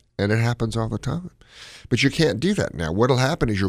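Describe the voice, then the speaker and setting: Vocal fry runs through this voice along with lively intonation. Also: man. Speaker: cardiologist radio host. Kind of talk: call-in medical advice show. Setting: studio. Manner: mumbles.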